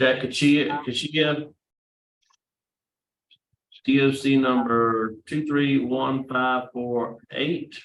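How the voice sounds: With audible room echo, a man speaks at a very slow pace with long, frequent pauses, medium pitch, a fairly bright tone and fairly even intonation.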